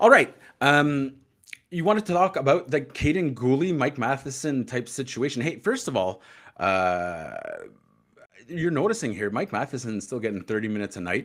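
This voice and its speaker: A man with a Quebec accent, fairly high in pitch, with very wide pitch swings. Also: moderate pace. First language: French. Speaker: hockey podcast co-host. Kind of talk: casual chat.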